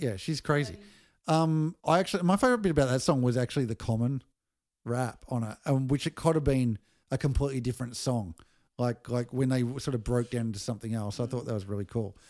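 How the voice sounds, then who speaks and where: With an Australian accent, a man of medium pitch talks very fast with ordinary pitch variation on a very clean recording with a silent background. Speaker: music podcast host. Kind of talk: casual chat. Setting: at a home over dinner.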